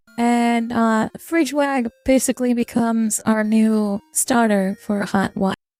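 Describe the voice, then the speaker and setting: Over music in the background, a fairly high-pitched woman with a non-native accent speaks at a fairly slow pace with hardly any pauses, fairly even intonation and very even loudness, in a dry, close sound with no echo. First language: not English. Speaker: VTuber. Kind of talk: casual gaming highlight narration.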